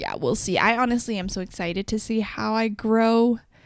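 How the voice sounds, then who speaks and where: A woman with a Canadian accent has an ordinary speaking voice at a fairly high pitch and a moderate pace. The recording is very clean, with a silent background. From Canada. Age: 20s. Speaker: podcast host. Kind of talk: solo podcast monologue. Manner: casual, conversational.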